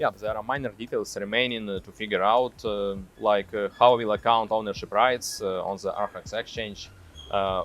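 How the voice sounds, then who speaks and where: A man speaks at a moderate pace with a strong Russian accent. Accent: thick Russian. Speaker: tech executive. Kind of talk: interview answer. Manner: hesitant, many fillers.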